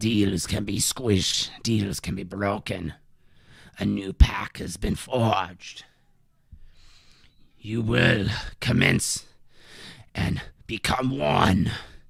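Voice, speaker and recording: A man speaks in a put-on character voice at a fairly low pitch. His delivery is very slow, with long, frequent pauses. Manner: menacing, gloating.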